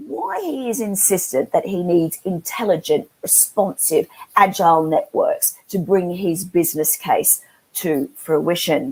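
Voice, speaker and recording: The intonation is lively. The speaker has an Australian accent. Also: woman. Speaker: webinar moderator, industry analyst. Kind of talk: moderated panel webinar.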